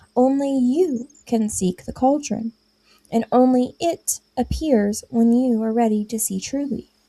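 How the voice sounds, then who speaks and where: In a squeaky, put-on character voice, a woman speaks at a fairly slow pace with high pitch and ordinary pitch variation. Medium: read story.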